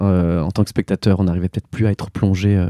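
Speaking at a fairly quick pace, a man with a fairly low pitch and a dark, mellow tone is heard in a very clean recording with a silent background and a dry, close sound with no echo. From Alsace, France. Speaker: actor and theatre director. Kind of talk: interview. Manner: halting.

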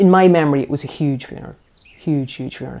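Her dark, mellow tone sits at a very deep, low pitch for a woman speaking in an Irish accent. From Ireland, near Dundalk, County Louth. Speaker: niece of the late poet. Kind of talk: documentary interview.

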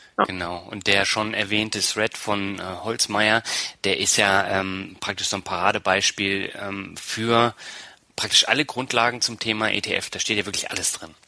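Speech comes at a fairly slow pace with monotone, flat intonation. Noticeable background noise is present. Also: man, fairly low pitch for a man. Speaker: podcast host. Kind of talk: interview.

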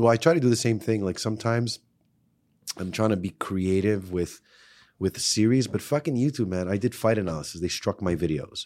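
A man with a fairly low voice speaks at a fairly quick pace with lively intonation. The recording is very clean, with a silent background. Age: 40s. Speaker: personal trainer and self-defense expert. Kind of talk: casual chat. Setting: studio. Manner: animated.

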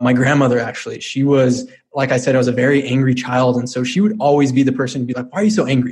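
A man speaks in an unremarkable speaking voice with an American accent. His pitch is medium and his intonation fairly even. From Colorado. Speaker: entrepreneur. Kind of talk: interview.

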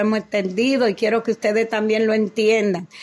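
A woman's fairly high-pitched voice. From Dominican Republic. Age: 70s. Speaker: cardiologist. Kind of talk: testimony. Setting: at her home.

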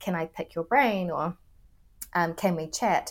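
With a New Zealand accent, a woman speaks at a medium pitch and a moderate pace, her pitch varying in an ordinary way. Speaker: career coach. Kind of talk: interview.

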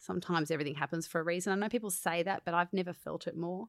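In a very clean recording with a silent background, a woman with an Australian accent speaks at a fairly low pitch and fairly even intonation, the sound dry and close with no echo. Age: 40s. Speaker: musical theatre performer. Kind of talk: casual chat. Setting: studio.

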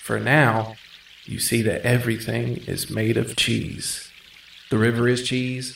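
Unforced voice reading aloud

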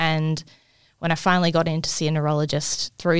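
A woman with an Australian accent speaks at a fairly low pitch. The recording is very clean, with a silent background and a dry, close sound with no echo. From far north Queensland, Australia. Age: 20s. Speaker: health department worker living with MS. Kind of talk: casual interview. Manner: halting, word-finding pauses.

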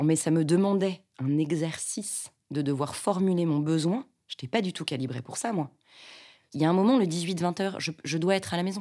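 A woman speaks at a moderate pace with a fairly low pitch. Her tone is dark and mellow, with ordinary pitch variation. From Paris western suburbs, France. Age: 40s. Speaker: actress and stage director. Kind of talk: personal testimony. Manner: hesitant, with fillers.

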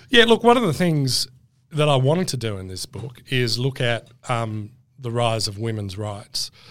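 This man has an Australian accent and a medium pitch. His pitch varies an ordinary amount. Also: moderate pace. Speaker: author, historian. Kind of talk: casual interview chat.

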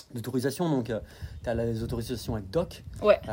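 A man's dark, mellow, somewhat breathy voice at a moderate pace, with ordinary pitch variation. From France, Dijon (Burgundy). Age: 30s. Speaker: outdoor guide and business owner. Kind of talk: casual interview.

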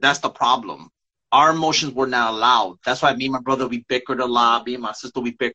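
A man with an American accent speaks at a very fast pace. His pitch is medium, and his intonation is fairly even. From New York. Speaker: poet and co-host. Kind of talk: poetry reading and casual chat. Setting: live video stream.

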